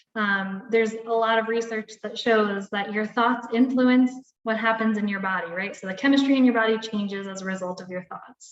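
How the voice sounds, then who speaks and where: A woman talks at a fairly quick pace in an unremarkable speaking voice. Her pitch is fairly high and her intonation fairly even. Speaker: wellness coach. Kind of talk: webinar presentation. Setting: live video webinar.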